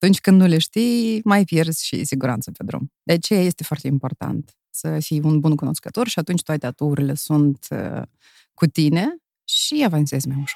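Her voice very deep and low, a woman speaks with lively intonation in a dry, close sound with no echo. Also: moderate pace. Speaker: entrepreneur, former radio broadcaster. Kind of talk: interview.

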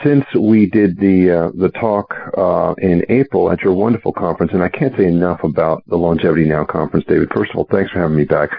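A man with a very deep, low pitch talks at a very fast pace with hardly any pauses and very even loudness. Noticeable background noise runs underneath. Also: ordinary pitch variation. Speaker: medical doctor. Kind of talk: interview. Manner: articulate.

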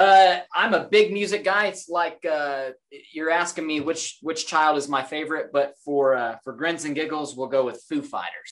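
An ordinary speaking voice from a man with an American accent, fairly high in pitch, at a moderate pace with ordinary pitch variation. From Oklahoma. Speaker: police public information officer. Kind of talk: interview.

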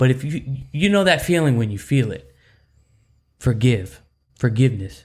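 With lively intonation and a somewhat breathy sound, a man speaks with long, frequent pauses. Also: medium pitch for a man, moderate pace. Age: 30s. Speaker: church podcast co-host. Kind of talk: casual faith chat.

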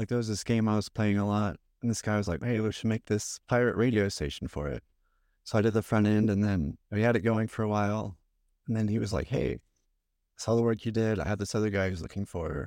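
In a very clean recording with a silent background and a dry, close sound with no echo, a man with a fairly low pitch speaks at a fairly quick pace with ordinary pitch variation and long, frequent pauses. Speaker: front end engineer. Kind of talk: casual chat.

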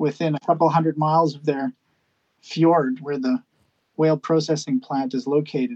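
A man with an unremarkable speaking voice talks at a moderate pace, his pitch fairly high with ordinary variation. The sound is dry and close, with no echo. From western Canada (British Columbia, Hornby Island). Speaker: ship captain and conservation campaigner. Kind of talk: casual interview. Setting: remote call from a ship.

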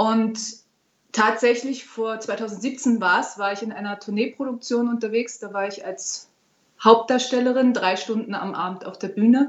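At a fairly slow pace, a woman speaks in a normal speaking voice with a fairly high pitch. Her intonation stays fairly even. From Berlin, Germany. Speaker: opera singer. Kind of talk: interview.

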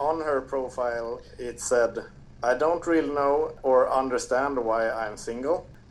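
Speaking with a Swedish accent, a man talks at a fairly slow pace with fairly even intonation and a medium pitch. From Sweden. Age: 30s. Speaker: podcast listener guest. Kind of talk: casual chat. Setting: remote call.

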